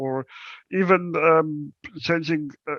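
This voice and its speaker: The speaker is a man. He talks with a South African accent. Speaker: accessibility company account manager, wheelchair user. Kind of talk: presentation talk. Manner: halting, many fillers and repetitions.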